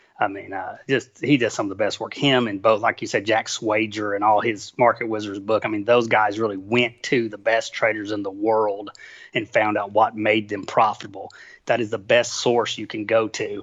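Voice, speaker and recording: The voice carries a strong Southern US accent and speaks in a monotone with flat intonation. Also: man, fairly low pitch for a man, moderate pace. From Tennessee, US South. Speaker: trader and author. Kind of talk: interview. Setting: phone call.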